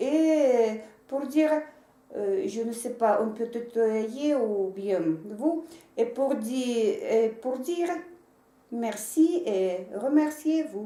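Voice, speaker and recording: In a Russian accent, a woman speaks very slowly with long, frequent pauses, her high voice dark and mellow in tone and lively in intonation, with audible room echo. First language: Russian (speaking French). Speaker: interpreter. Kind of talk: consecutive interpreting in video message. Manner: halting, many hesitations.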